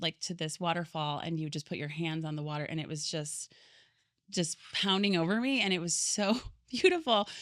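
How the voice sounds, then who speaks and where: Her pitch varying in an ordinary way, a woman with a US Midwestern accent talks at a moderate pace. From US Midwest, Michigan and Chicago area. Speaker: podcast guest. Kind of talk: casual chat.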